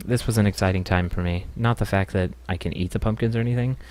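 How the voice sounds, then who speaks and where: This man's fairly low voice comes through a very clean recording with a silent background. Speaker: gaming video creator. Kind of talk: voice-over commentary on gameplay. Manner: casual, hesitant with fillers.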